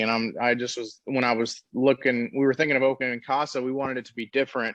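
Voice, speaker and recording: A man's monotone, flat intonation over a quiet background. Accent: American. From Texas, Dallas. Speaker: treatment center owner, recovering addict. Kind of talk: podcast interview.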